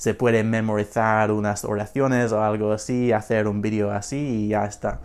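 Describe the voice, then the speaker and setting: A man with a strong non-native accent speaks at a very slow pace in a fairly low, monotone, flat voice, on a very clean recording with a silent background. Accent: strong foreign accent in Spanish. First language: English (speaking Spanish). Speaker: language learner vlogger. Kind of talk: unscripted casual vlog. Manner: halting, many fillers and repetitions.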